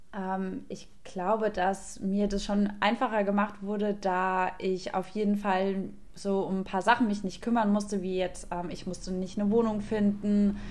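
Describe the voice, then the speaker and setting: Her pace fairly slow, a woman speaks at a medium pitch. Her intonation stays monotone and flat. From Germany, Aschaffenburg (Lower Franconia). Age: 20s. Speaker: café owner. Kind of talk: casual interview. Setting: video call.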